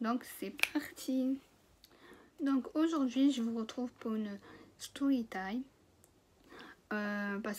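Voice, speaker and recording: A woman speaks at a very slow pace in a fairly high, somewhat breathy voice. Her pitch variation is ordinary. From France. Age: 20s. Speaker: cooking trainee. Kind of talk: casual story time to camera. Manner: casual, hesitant.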